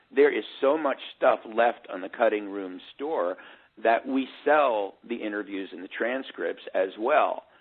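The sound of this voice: Fairly low, slightly husky male voice at a fairly slow pace. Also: ordinary pitch variation.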